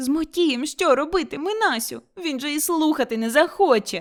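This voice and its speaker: A woman puts on a character voice, high-pitched, with lively intonation at a moderate pace. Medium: read story.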